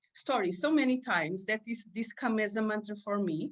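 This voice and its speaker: With a Portuguese accent, a woman speaks at a moderate pace with a fairly high pitch and lively intonation. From Portugal. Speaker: aura reader and vision board creator. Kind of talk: interview. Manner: halting, many fillers.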